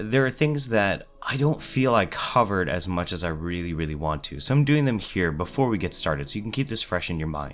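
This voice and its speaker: A man's very deep, low voice with very wide pitch swings, over music in the background. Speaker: YouTuber. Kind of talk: storytime talk to camera. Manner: casual, conversational.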